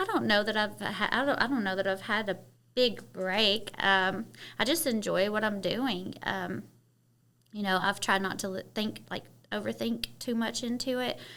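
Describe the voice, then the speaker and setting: A woman with a Kentucky accent speaks at a medium pitch and a moderate pace. Her tone is bright and sharp, with vocal fry and fairly even intonation. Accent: Southern Kentucky. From Kentucky, Harlan County (Appalachia). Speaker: model, actress and media entrepreneur. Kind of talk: casual interview chat. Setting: studio.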